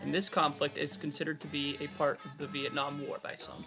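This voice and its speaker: A man at a fairly quick pace over music in the background. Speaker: interviewer. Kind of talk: documentary narration.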